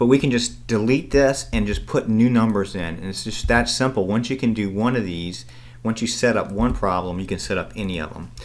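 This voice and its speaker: A man's fairly low voice at a fairly quick pace, with fairly even intonation and audible room echo. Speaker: accounting instructor. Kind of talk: recorded lecture tutorial. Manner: fast.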